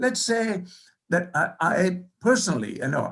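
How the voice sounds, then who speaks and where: Speaking with a non-native accent, a man uses a high pitch with very wide pitch swings at a moderate pace. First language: not English. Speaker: professor. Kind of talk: keynote lecture. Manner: halting.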